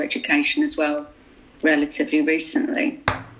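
At a moderate pace, the talking goes on amid noticeable background noise. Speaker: book editor and co-author, host. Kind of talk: panel discussion.

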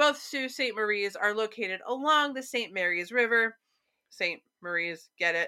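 On a very clean recording with a silent background, a woman with an American accent speaks in a bright, sharp tone at fairly high pitch with lively intonation. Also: moderate pace. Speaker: podcast co-host. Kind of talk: casual chat about local ghost stories.

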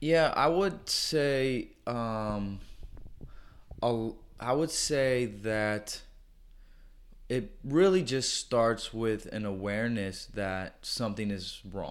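A man with an American accent, very slow pace, lively intonation, and long, frequent pauses. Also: medium pitch for a man. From US Midwest, St. Louis area (Florissant, Missouri). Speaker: PE teacher and church planter. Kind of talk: casual interview conversation. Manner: hesitant, many fillers.

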